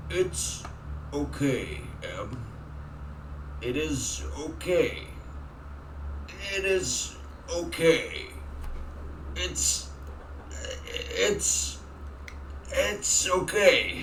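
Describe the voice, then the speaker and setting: Using a put-on character voice, a man speaks at a very slow pace with long, frequent pauses, slight echo and clear background noise. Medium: game stream. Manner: halting, repetitive, unnatural delivery.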